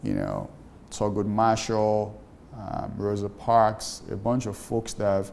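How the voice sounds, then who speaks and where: A man with a Nigerian accent speaks at a fairly slow pace in a fairly low pitch with a dark, mellow tone. His intonation stays flat and monotone, and room echo is audible. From Nigeria (Lagos). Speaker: startup founder. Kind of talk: interview.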